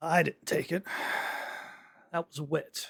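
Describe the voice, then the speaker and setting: This man uses a put-on character voice. It comes out raspy and high-pitched. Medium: actual play. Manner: measured, calm.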